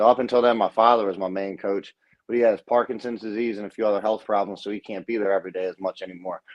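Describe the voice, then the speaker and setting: Speaking very fast in a monotone, flat intonation, a man with an American accent uses a fairly low pitch. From South Baltimore, Maryland. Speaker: professional boxer. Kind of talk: interview. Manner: halting.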